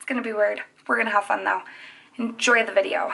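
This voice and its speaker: A woman speaks quietly. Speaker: makeup artist youtuber. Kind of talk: makeup tutorial. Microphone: phone near.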